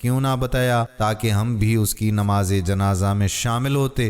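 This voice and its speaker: Ordinary pitch variation runs through a man's fairly low voice, which is a normal speaking voice. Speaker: voice-over artist. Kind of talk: Islamic moral story narration.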